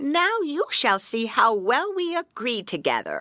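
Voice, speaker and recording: A female-sounding voice performs a put-on character in a high, warm tone. It moves at a fairly slow pace with very wide pitch swings. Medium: read story. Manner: warm, coaxing.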